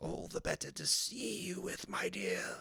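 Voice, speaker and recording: In a put-on character voice, a man speaks at a moderate pace and medium pitch, soft-spoken yet raspy and gruff. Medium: read story. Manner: sly, falsely gentle.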